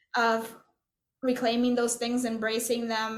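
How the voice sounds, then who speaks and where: A fairly high-pitched woman's voice with audible room echo. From Puerto Rico. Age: 40s. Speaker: composer. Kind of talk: interview conversation. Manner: halting, many fillers and restarts.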